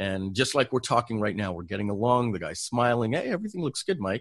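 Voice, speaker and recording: Against a quiet background, a man with a plain, everyday voice speaks at a medium pitch with lively intonation. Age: 50s. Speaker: online entrepreneur, software company founder. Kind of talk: interview. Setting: call.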